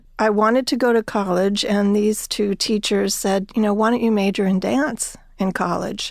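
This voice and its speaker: A woman with an American accent uses an ordinary speaking voice at a medium pitch, talking at a moderate pace with fairly even intonation, hardly any pauses and very even loudness. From New Jersey. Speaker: arts administrator. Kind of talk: interview.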